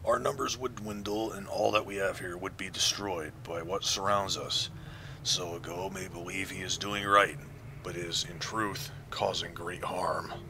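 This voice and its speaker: Over loud background noise, a man does a put-on character voice that is resonant and fairly low, delivered at a moderate pace. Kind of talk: archaic, formal speech. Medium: game stream. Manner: solemn, slow and grave.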